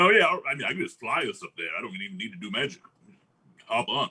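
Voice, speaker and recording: Using a put-on character voice, a man rattles along at a very fast pace at medium pitch. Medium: actual play. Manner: relaxed, casual.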